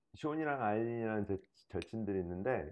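A man speaks at a moderate pace. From South Korea. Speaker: investor, dating show contestant; interview guest. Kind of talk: casual interview. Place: home room.

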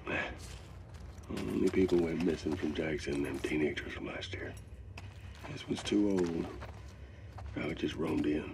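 In a room with audible echo, a man does a put-on character voice with vocal fry at an extremely low pitch, moving at a fairly slow pace with long, frequent pauses. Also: ordinary pitch variation.

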